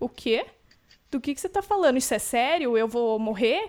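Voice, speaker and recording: The woman's pitch swings very widely as she talks. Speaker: podcast host, dancer. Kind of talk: casual podcast chat. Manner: energetic.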